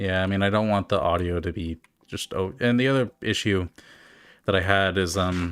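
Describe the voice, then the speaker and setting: On a very clean recording with a silent background, a man mumbles at a moderate pace in a very deep, low voice with fairly even intonation. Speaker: streamer, gamer. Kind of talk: casual live-stream commentary. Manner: mumbling, slurred words; halting, many fillers.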